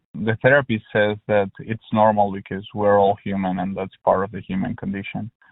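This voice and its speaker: With a Spanish accent, a man talks at a moderate pace in a fairly low, monotone voice, with flat intonation and hardly any pauses. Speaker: helpline caller. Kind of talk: personal phone conversation. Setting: phone call. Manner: halting, many fillers and repetitions.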